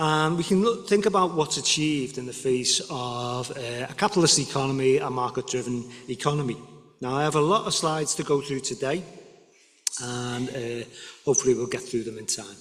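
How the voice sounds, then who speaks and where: A man speaks at a fairly quick pace with a Liverpool accent. Noticeable background noise runs underneath. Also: medium pitch for a man, ordinary pitch variation. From northern England, Liverpool. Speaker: guest lecturer. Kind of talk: lecture. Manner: halting.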